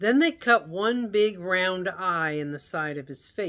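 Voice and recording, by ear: Lively intonation in reading aloud in a natural voice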